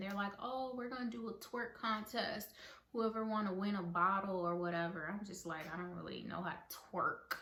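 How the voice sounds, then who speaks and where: A woman mumbles her words. Audible room echo fills the space. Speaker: vlogger. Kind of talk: casual storytelling vlog. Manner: mumbling; filler-heavy.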